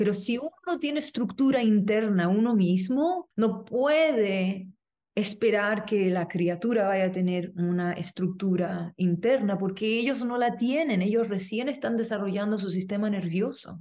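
A woman talks at a fairly slow pace with hardly any pauses, at a medium pitch with ordinary variation. Her tone is dark and mellow. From Chile. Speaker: movement teacher and artist. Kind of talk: interview conversation.

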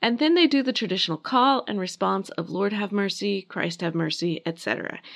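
Against a quiet background, a woman speaks at a moderate pace in a medium pitch with very wide pitch swings. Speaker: podcast host and history narrator. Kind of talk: reading aloud a wedding liturgy from a prayer book, solemn and measured. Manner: conversational and wry in the intro.

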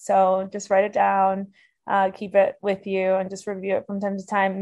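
A woman with a medium-pitched voice speaks at a moderate pace in an American accent. It is an ordinary speaking voice, with a quiet background. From Miami, Florida. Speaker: dental school graduate. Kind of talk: podcast interview.

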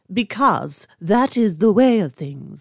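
A female-sounding voice puts on a character voice with a pompous tone. The pitch is medium and the pace fairly slow. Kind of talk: posh. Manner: pompous, aristocratic.

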